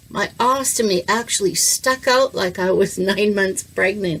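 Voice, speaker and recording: With an unremarkable speaking voice, a woman talks at a fairly slow pace in a medium pitch, using ordinary pitch variation and very even loudness. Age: 60s. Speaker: educator, kidney transplant patient. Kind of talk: casual talk to camera, health tutorial. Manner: friendly, conversational, humorous.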